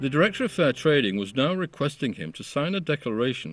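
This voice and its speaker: Over a quiet background, a man's voice shows vocal fry and swings very widely in pitch. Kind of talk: documentary narration.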